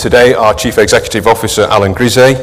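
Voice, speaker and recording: A man speaks at a fairly quick pace with fairly even intonation. Noticeable background noise and audible room echo fill the recording. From northern England, Manchester. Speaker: sustainability manager at an investment firm. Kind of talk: conference presentation. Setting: conference stage with audience.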